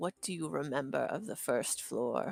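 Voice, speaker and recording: A raspy, put-on character voice at a low-to-middle pitch moves along at a moderate pace. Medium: actual play. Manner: wary, measured.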